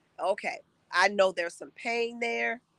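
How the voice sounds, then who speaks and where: A woman's bright, sharp voice is heard dry and close with no echo. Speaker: peace coach, live stream host. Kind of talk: live stream motivational talk. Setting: outdoors.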